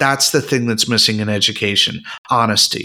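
A man at a moderate pace. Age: 50s. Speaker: retired art teacher. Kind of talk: casual chat. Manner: animated.

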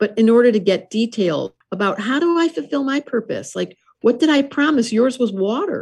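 A somewhat breathy woman's voice, fairly high in pitch, with lively intonation and a fairly quick pace. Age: 60s. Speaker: astrologer and author. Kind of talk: interview.

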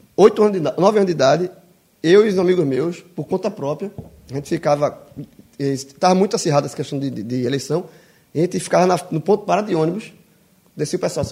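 Talking at a very fast pace broken by long, frequent pauses, a man with a Brazilian accent has a high pitch, a dark, mellow tone and ordinary pitch variation. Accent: regional Brazilian. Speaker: podcast co-host. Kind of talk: casual chat.

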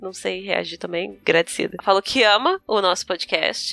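A woman talks at a fairly quick pace. She has an ordinary speaking voice. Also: dry, close sound with no echo. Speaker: podcast co-host. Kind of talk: casual chat. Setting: video call.

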